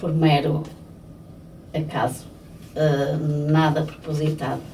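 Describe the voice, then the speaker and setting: A woman with a European Portuguese accent speaks slowly in a very deep, low voice. Long, frequent pauses and audible room echo mark the clip. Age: 60s. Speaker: florist. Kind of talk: interview. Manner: hesitant, with many fillers.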